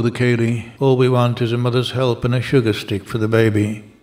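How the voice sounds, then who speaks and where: Recorded very cleanly against a silent background, a man of medium pitch delivers his words in a deadpan tone with monotone, flat intonation. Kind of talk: poem reading. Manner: deadpan, brisk, rhythmic delivery; wry, sardonic, lightly comic.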